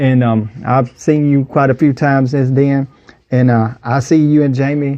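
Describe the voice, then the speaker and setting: Keeping a moderate pace and very even loudness, a man speaks with a Southern US accent in a monotone, flat intonation. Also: medium pitch for a man. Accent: Southern US (Georgia). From US South, Wilkes County, Georgia. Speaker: podcast host. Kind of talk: interview.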